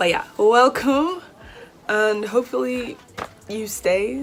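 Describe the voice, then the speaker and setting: Over noticeable background noise, a woman speaks in a British accent. Her fairly high voice has lively intonation. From Nigeria. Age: 20s. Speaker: YouTuber, university student. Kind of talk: casual vlog Q&A.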